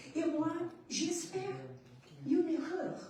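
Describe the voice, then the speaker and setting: In a Portuguese accent, a woman speaks at a very slow pace with audible room echo. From Portugal. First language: Portuguese (speaking French). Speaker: writer. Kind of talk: panel discussion. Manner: halting.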